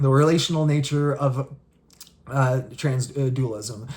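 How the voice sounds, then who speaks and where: A man speaks in a fairly high, somewhat breathy voice. His intonation stays fairly even. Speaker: spirituality video creator. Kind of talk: solo explainer monologue. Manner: fast; halting, many fillers and restarts.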